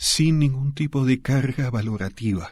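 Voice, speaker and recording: This man's voice sits at a medium pitch, somewhat breathy, with ordinary pitch variation at a fairly slow pace. The recording is very clean, with a silent background. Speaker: sociologist and author. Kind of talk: radio interview.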